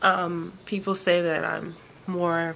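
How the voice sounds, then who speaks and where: A woman speaks very slowly. Noticeable background noise runs underneath. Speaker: vlogger. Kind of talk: personal vlog update. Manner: soft-spoken; hesitant, many fillers.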